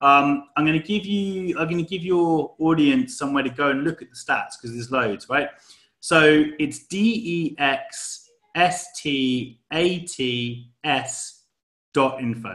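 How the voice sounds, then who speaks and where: At a fairly slow pace, a man speaks in a fairly high pitch. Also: ordinary pitch variation. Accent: British. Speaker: crypto project team member. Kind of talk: interview. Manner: casual.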